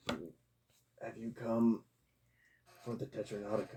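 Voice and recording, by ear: A croaky, put-on character voice speaks at a fairly slow pace with fairly even intonation. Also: man, medium pitch for a man.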